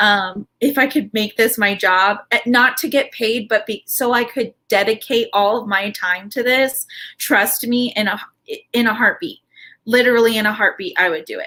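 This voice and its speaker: A woman speaks at a moderate pace in a fairly high voice. Her tone is bright and sharp, with ordinary pitch variation. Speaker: live stream host. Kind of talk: casual live stream chat. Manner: loud at times. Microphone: stream sound quality said to be good.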